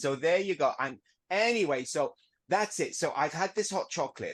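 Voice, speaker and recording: Against a quiet background, a man talks at a moderate pace in a high pitch. His tone is animated and his intonation lively. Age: 60s. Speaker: BSL interpreter. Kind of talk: casual chat.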